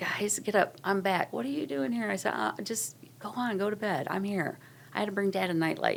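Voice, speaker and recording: Talking at a fairly quick pace, a woman with a medium pitch uses lively intonation and vocal fry. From Ohio, US Midwest. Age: 60s. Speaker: church member sharing her story. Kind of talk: testimony. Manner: halting.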